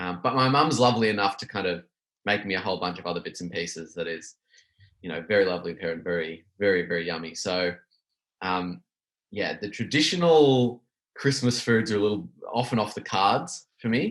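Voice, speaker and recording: A man speaks fairly quickly in an Australian accent at a fairly low pitch. His intonation is lively, and the recording is very clean with a silent background. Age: 30s. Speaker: small business owner. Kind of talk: casual chat.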